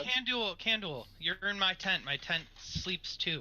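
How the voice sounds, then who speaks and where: Putting on a gruff character voice, a man talks at a high pitch and a fairly slow pace with lively intonation. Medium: actual play. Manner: gruff, grumbling, mildly cursing.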